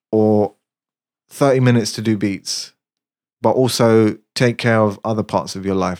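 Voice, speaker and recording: On a very clean recording with a silent background, a man talks at a fairly low pitch and a fairly slow pace, with fairly even intonation and long, frequent pauses. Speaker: music producer. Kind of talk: casual chat.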